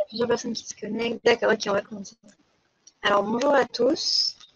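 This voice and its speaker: This woman's voice sits at a fairly high pitch, and her intonation stays fairly even. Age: 20s. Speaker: political candidate. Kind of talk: live stream monologue. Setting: YouTube live stream. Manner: hesitant, many fillers.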